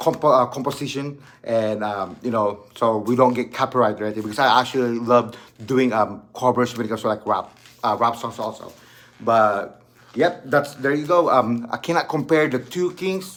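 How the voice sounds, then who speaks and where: Pitched at a medium level, a man speaks at a moderate pace with ordinary pitch variation. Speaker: channel host and amateur rapper. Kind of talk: casual video vlog talk. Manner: halting, many fillers and restarts.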